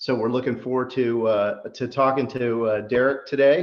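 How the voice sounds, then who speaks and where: It's a normal speaking voice, a man's at medium pitch. He talks at a fairly slow pace with fairly even intonation. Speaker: interviewer. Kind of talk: interview host introduction.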